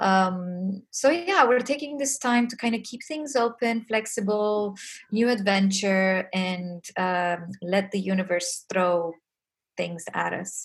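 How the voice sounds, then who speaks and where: Speaking very slowly, a woman with a Romanian accent sounds somewhat breathy at medium pitch, with ordinary pitch variation. The background is quiet. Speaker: music industry community founder. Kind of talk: interview.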